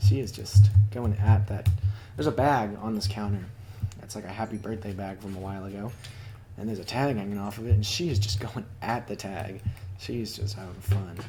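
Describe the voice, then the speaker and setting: With audible room echo around him, a man speaks in a fairly low-pitched, dark, mellow tone that is somewhat breathy, his intonation fairly even and his loudness swinging widely. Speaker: gaming video creator. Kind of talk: gameplay commentary. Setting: home recording with a cat. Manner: casual, hesitant with fillers.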